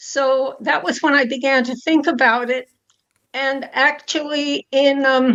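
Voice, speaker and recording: With an American accent, a woman speaks fairly slowly at a high pitch in a monotone, flat intonation. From US, New York City. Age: 90s. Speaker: foundation founder and donor. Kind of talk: interview. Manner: halting.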